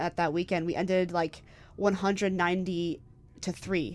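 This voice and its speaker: Over music in the background, a woman with an American accent talks in a fairly low pitch with monotone, flat intonation. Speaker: college rugby player. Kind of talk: interview.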